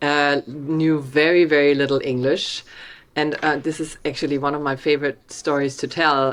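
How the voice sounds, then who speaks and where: With a strong German accent, a woman speaks at a very deep, low pitch, fairly slowly and in a monotone, flat intonation. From Germany, Hamburg. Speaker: documentary film director. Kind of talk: video interview.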